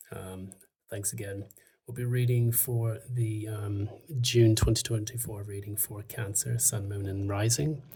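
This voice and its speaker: A soft-spoken man talks at a fairly slow pace and a fairly low pitch, his tone dark, mellow and somewhat breathy. His intonation stays fairly even while his loudness swings widely. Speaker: tarot reader. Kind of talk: tarot reading. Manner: soft-spoken, quiet; hesitant, many fillers.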